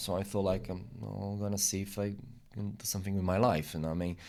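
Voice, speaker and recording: A man with a Portuguese accent speaks at a fairly quick pace. His pitch is fairly low, and his intonation stays fairly even. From Brazil. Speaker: immigrant interviewee. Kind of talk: casual interview. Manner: halting, many repetitions.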